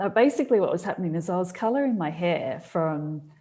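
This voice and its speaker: With lively intonation, a woman speaks at a medium pitch in a dark, mellow tone. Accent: Australian. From Australia. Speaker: business coach. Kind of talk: casual chat.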